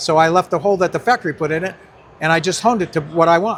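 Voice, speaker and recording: Over noticeable background noise, a man talks at a very fast pace. His intonation is lively. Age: 80s+. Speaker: retired drag racing driver. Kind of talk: casual interview, storytelling. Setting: car show.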